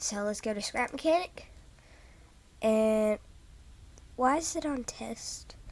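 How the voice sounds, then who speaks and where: Long, frequent pauses break up speech delivered very slowly. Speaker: gaming youtuber. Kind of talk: gameplay commentary. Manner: hesitant.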